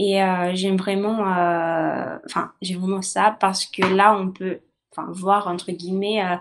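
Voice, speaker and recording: A woman talks at a very slow pace. Her pitch is medium, with fairly even intonation. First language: not French (speaking French). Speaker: university student. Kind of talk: testimony. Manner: halting, many hesitations.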